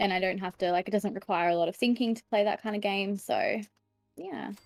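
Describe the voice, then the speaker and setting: A woman with an Australian accent talks at a fairly quick pace and medium pitch, with fairly even intonation. Her loudness swings widely, and music plays in the background. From Australia, Sydney. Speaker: streamer. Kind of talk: casual chat.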